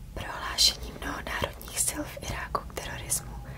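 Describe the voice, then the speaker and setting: A woman whispers at a moderate pace with noticeable background noise behind her. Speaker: ASMR creator. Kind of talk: ASMR reading of official statements. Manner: whispered.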